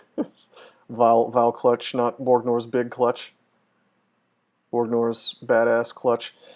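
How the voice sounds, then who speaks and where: In an American accent, a man speaks at a very slow pace with monotone, flat intonation and long, frequent pauses. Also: medium pitch for a man. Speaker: video game streamer. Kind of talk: live gameplay commentary. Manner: hesitant, many fillers.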